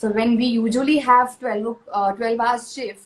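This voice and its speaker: The speech comes in a Marathi accent. It moves at a moderate pace with ordinary pitch variation. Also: woman. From India, Pune (Maharashtra). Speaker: actress. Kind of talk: panel interview. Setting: live stream.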